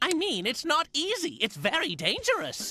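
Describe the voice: In a cartoonish character voice, the speaker talks at a high pitch and a moderate pace.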